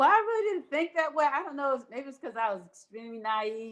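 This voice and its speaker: A woman with an American accent, lively intonation and a fairly quick pace. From Philadelphia, Pennsylvania. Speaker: alumna, teacher. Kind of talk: oral history interview.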